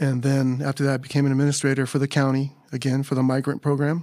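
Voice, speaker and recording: At a moderate pace, the speaker talks with an American accent in a very clean recording with a silent background. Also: man. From California, Carpinteria. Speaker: retired teacher. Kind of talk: casual chat.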